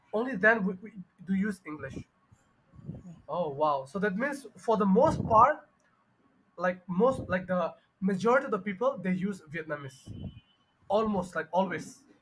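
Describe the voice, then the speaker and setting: A man with a Bengali accent speaks at a moderate pace in a high voice. He leaves long, frequent pauses. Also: lively intonation. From Bangladesh. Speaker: English teacher. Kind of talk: online tutoring conversation. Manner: halting, many fillers.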